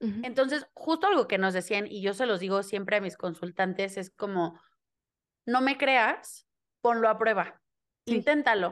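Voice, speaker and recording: A woman with a Mexican accent at a fairly high pitch and a moderate pace, ordinary pitch variation, quiet background. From Mexico. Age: 20s. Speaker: human design reader and theatre teacher. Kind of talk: interview conversation.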